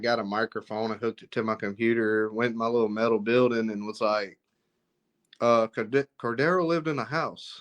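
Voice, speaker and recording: Recorded with a dry, close sound, no echo and a quiet background, a man talks with ordinary pitch variation. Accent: Southern US. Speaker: author and filmmaker. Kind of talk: interview. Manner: halting.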